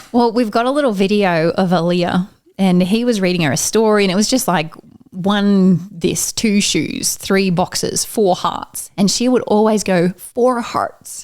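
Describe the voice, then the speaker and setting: At a fairly slow pace, a woman with a medium pitch and an Australian accent speaks with ordinary pitch variation and very even loudness. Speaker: amateur runner. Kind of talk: casual chat.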